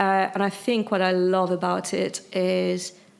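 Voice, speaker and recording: This woman speaks with a French accent at a medium pitch. The recording is very clean, with a silent background. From France. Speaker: chief risk officer. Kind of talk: interview. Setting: live at a conference.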